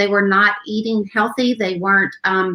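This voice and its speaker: A woman with an Appalachian accent and a fairly high pitch. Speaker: education foundation founder. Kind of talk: casual panel chat.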